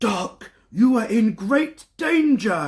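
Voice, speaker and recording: In a raspy, put-on character voice, a man speaks at a high pitch. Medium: read story. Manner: hushed, worried.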